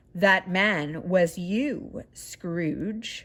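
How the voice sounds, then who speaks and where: In a very clean recording with a silent background, a woman uses a put-on character voice at a medium pitch. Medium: read story.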